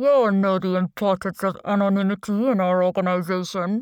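A woman in a put-on character voice speaks at a fairly quick pace with medium pitch and very even loudness. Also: fairly even intonation. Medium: read story. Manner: smooth, menacing.

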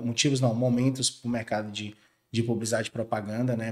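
This man's voice sits at a medium pitch and keeps a fairly even intonation. He talks very fast over a very clean recording with a silent background. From Brazil, western Bahia (Barreiras). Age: 30s. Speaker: creative agency co-founder. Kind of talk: interview conversation.

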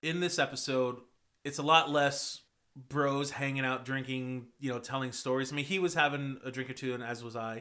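A man with an American accent talks at a moderate pace and a medium pitch. His tone is bright and sharp, with fairly even intonation. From Texas. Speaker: podcast host, musician. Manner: casual, profane, joking.

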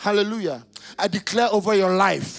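Music plays in the background while a man talks in an animated tone. His pitch is high and his pace moderate. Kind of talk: sermon. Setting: church with congregation. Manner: animated, call-and-response, exhorting the congregation to shout; loud, rhythmic, repeating phrases for emphasis.

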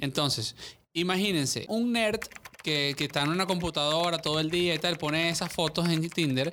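A man's bright, sharp voice at a fairly high pitch, moderate pace and ordinary pitch variation, in a very clean recording with a silent background. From Venezuela, Caracas. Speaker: podcast guest. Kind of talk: casual chat. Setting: studio.

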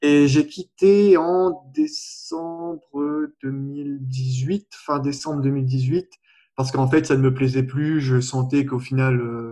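A man with a dark, mellow tone speaks at a very slow pace with fairly even intonation. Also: fairly high pitch for a man. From Réunion. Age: 20s. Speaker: personal development coach. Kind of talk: interview.

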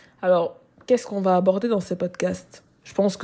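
A woman speaks at a medium pitch and a moderate pace, her tone dark and mellow. Her voice is somewhat breathy, and the recording is very clean with a silent background. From Cameroon. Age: 20s. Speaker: content creator and student podcaster. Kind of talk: personal monologue. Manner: casual, with hesitations.

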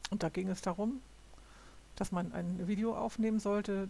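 In a very clean recording with a silent background, a woman of medium pitch speaks at a moderate pace, somewhat breathy and dark and mellow in tone, with fairly even intonation. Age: 60s. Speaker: podcaster. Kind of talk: solo monologue. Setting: home recording at computer. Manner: halting.

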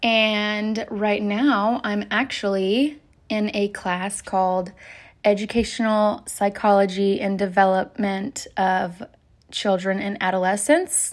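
Speaking at a very slow pace, a woman keeps a fairly even intonation at a medium pitch. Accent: American. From Oklahoma. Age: 20s. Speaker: podcaster and college student. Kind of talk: casual solo monologue. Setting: desk at home. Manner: giggly, frequent laughter.

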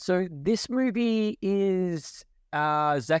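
With an Australian accent, a man talks in very wide pitch swings on a very clean recording with a silent background. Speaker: pop culture podcast host. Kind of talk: casual chat. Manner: laughs often.

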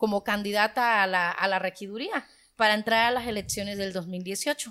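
A woman with a normal speaking voice, fairly high in pitch, fairly even in intonation, on a very clean recording with a silent background. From Guerrero, Mexico (Sierra Baja). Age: 30s. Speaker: local political candidate. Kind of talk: podcast interview.

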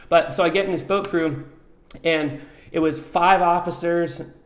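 A man at a fairly slow pace, his intonation monotone and flat, with audible room echo. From New Mexico, Albuquerque. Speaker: coffee company founder, military veteran. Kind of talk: casual interview.

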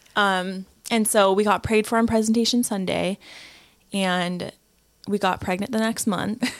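A woman's medium-pitched, monotone, flat delivery with long, frequent pauses. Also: moderate pace. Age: 20s. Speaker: stay-at-home mom. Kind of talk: testimony.

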